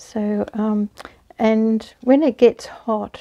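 Against a quiet background, a woman with an Australian accent speaks with fairly even intonation. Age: 60s. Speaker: knitting and crochet hobbyist. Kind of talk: casual talk to camera. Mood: warm, relaxed, chatty. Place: home room. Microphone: lapel.

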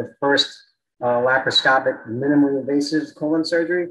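Fairly high-pitched, a man with an American accent speaks at a moderate pace in a monotone, flat intonation. Light background noise can be heard. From New York. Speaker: colorectal surgeon; guest. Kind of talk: interview. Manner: hesitant, frequent fillers. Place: office. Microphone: video call.

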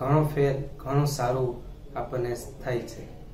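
With audible room echo and light background noise, a man speaks at a fairly high pitch in a flat, monotone intonation. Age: 30s. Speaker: patient. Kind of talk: testimony. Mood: calm, grateful. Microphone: camera far.

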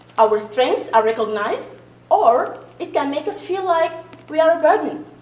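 A woman with an Arabic accent speaks at a moderate pace with lively intonation. Noticeable background noise and audible room echo come through. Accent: foreign accent, Arabic-speaking. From Sudan. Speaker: parent committee member. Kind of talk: committee presentation. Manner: halting, repeats words.

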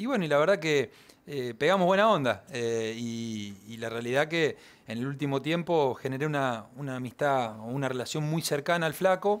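At a moderate pace, a man talks with lively intonation in a fairly high pitch. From Argentina. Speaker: racing driver; guest. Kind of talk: interview. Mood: relaxed, friendly. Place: studio. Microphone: headset.

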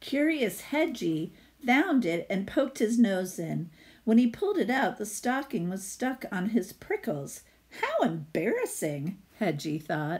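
A somewhat breathy woman at a fairly slow pace, with very wide pitch swings. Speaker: teacher. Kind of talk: storybook read-aloud for students. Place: home room. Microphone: phone near.

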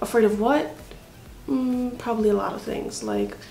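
Audible room echo and light background noise surround this recording. A woman speaks at a fairly slow pace in a fairly high pitch. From Hawaii. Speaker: YouTuber. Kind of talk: casual vlog to camera. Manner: halting. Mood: nervous, self-reflective. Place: home room. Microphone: phone near.

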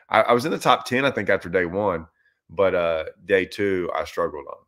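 A man speaks at a moderate pace in a fairly low pitch with a bright, sharp tone against a quiet background. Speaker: fishing livestream host. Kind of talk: casual livestream chat answering viewer questions. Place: home room. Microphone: webcam.

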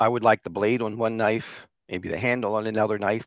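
A man with a fairly low pitch talks at a very fast pace, the sound dry with no echo and the background quiet. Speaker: remote guest. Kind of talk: interview answer. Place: home room. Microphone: headset.

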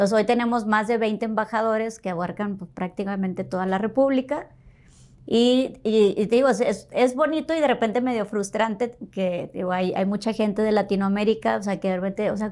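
A woman talks in a plain, everyday voice at a moderate pace. Her pitch is fairly high, with ordinary pitch variation. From Matamoros, Tamaulipas, northern Mexico; Tamaulipas, Mexico. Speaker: foundation co-founder; guest. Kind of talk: interview. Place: studio. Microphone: lapel.

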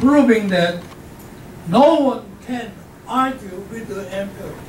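With audible room echo and light background noise, a man with an extremely high pitch speaks at a very slow pace, using long, frequent pauses and big swings in loudness. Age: 80s+. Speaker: professor. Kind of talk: lecture to an audience. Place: hall.

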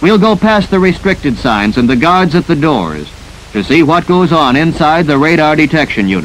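A man with a fairly high pitch speaks in a dramatic tone, his intonation lively. His loudness stays very even, and there is noticeable background noise. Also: moderate pace. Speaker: film narrator. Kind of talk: 1950s civil defense film narration. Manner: formal, dramatic, urgent newsreel-style delivery; brisk, authoritative, measured.

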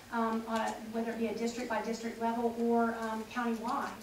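The room has audible echo, with light background noise. A woman speaks at a fairly high pitch. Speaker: political candidate. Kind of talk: forum answer. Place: meeting room.

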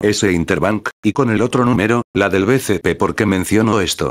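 With an ordinary speaking voice, a man talks at a fairly slow pace and a fairly low pitch, the sound dry and close with no echo. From Peru. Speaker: graphic designer and tutorial youtuber. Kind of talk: tutorial.

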